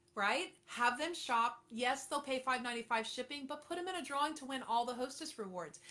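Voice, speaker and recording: A woman with an American accent speaks fairly quickly in a high pitch, with ordinary pitch variation. There is noticeable background noise. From Florida, Treasure Coast. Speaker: direct sales consultant. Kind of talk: livestream coaching talk. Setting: live stream. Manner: animated.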